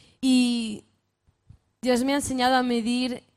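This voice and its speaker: In a very clean recording with a silent background, a woman with a northern Spanish accent talks at a fairly slow pace and a fairly high pitch. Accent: northern Spanish, Castilian. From northern Spain. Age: 20s. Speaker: youth speaker, pastors' daughter. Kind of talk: sermon-style talk to youth conference. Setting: stage with audience.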